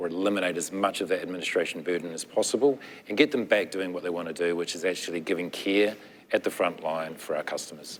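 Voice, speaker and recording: A man's very deep, low voice with a New Zealand accent and fairly even intonation. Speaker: nonprofit technology executive. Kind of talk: panel discussion.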